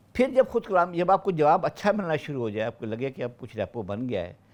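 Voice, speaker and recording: With very wide pitch swings, a man speaks in a fairly high pitch. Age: 60s. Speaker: retired senior civil servant. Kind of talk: podcast interview. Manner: halting.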